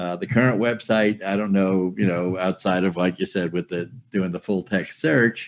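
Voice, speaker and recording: At a moderate pace with hardly any pauses, a man talks in a very deep, low pitch and fairly even intonation over a quiet background. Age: 70s. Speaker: software user, retired trader. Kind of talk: group video call discussion. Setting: video call. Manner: halting, many fillers. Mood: candid, slightly resigned. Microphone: video call.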